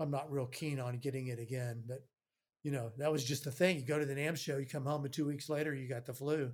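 A man's somewhat breathy, fairly high-pitched voice with fairly even intonation. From Texas. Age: 60s. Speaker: studio owner and mic company president. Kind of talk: casual interview chat.

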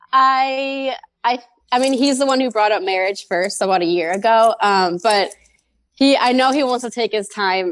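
With a normal speaking voice, a woman talks at a moderate pace with ordinary pitch variation against a quiet background. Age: 20s. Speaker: caller. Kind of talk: advice call.

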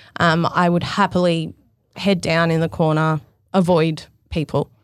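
A woman speaks with an Australian accent in a very clean recording with a silent background. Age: 30s. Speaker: fashion stylist. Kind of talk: casual interview chat.

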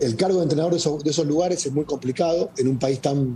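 A man talks with a fairly high pitch. His voice is somewhat breathy. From Argentina. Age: 50s. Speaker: football coach. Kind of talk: interview.

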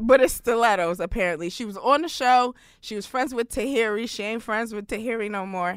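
A woman with an American accent in a normal speaking voice, fairly high-pitched with ordinary pitch variation, fairly quick, with big swings in loudness, on a very clean recording with a silent background. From New York City (Brooklyn). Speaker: comedian and writer. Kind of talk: casual chat.

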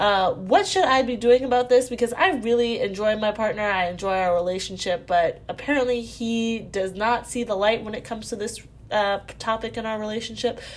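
A woman with a fairly high pitch and an ordinary speaking voice, at a fairly quick pace with hardly any pauses and ordinary pitch variation. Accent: American. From Virginia, US. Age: 20s. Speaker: caller. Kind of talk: recorded voicemail question.

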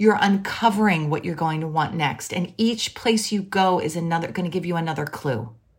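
In an American accent, a woman speaks with a fairly low pitch and ordinary pitch variation, leaving hardly any pauses. It is a normal speaking voice. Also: fairly quick pace. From Philadelphia, US. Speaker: writer and editor, podcast host. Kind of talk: casual interview chat.

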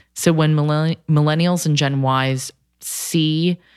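In an American accent, a woman speaks with monotone, flat intonation. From United States. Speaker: cookbook author. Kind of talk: casual chat.

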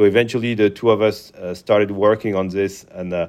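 Over a quiet background, a man with a French accent speaks at a moderate pace, his pitch fairly low and his intonation monotone and flat. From France. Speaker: company founder. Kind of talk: interview. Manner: hesitant, many fillers.

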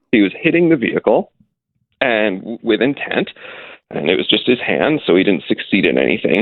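A man with a Canadian accent talks at a moderate pace. His loudness stays very even. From Toronto. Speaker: mayoral candidate and commentator. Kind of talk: interview.

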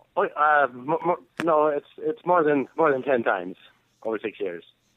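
A man in an ordinary speaking voice, fairly high-pitched, with a fairly slow pace and lively intonation. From Canada. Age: 50s.

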